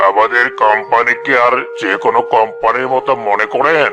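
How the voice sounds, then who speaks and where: A man puts on a cartoonish character voice at a medium pitch and moderate pace. Loud background noise runs throughout. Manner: persuasive, domineering.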